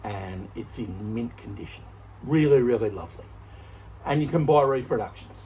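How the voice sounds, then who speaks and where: A man with a fairly low pitch speaks at a moderate pace, pausing long and often. His loudness swings widely, and music plays in the background. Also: ordinary pitch variation. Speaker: motorcycle restorer, video maker. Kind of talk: workshop tutorial. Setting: shed. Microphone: no microphone, shouting.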